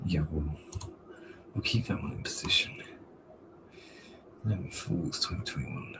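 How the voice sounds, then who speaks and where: Soft-spoken and very deep, a man talks with long, frequent pauses against noticeable background noise. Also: lively intonation, moderate pace. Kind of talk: casual chat. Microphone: sounds too quiet on other streams.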